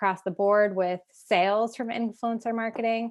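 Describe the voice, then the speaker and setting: The background stays quiet. Her intonation is fairly even as the woman talks. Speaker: fashion business consultant. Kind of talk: interview. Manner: fast.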